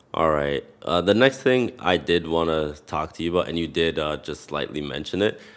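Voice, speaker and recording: This very clean recording has a silent background. A man with a very deep, low voice speaks with lively intonation in a Canadian accent. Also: moderate pace, hardly any pauses. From Canada. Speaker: podcast host. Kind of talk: interview. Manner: casual.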